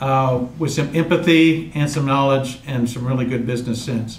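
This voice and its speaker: There is audible room echo around a man's voice. He talks at a moderate pace with ordinary pitch variation. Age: 60s. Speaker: mortgage trainer. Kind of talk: training session. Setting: room with live audience, filmed.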